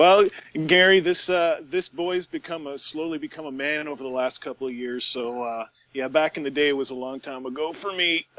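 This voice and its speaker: With a Canadian accent, a man with a plain, everyday voice speaks at a fairly high pitch and a moderate pace, showing ordinary pitch variation. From Canada, Barrie, Ontario. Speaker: podcast co-host. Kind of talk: podcast interview.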